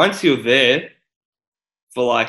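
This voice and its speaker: Here a man speaks with an Australian accent. His tone is bright and sharp, and his pace fairly slow. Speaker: podcast host. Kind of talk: casual interview.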